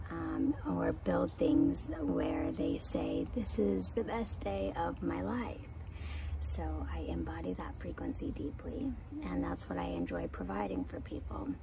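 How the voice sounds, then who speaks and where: At a fairly slow pace, a woman speaks in a very deep, low voice with very wide pitch swings. Room echo is audible, and background noise is noticeable. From Russia, Kazakhstan and Israel. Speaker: spiritual coach. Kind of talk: vlog monologue.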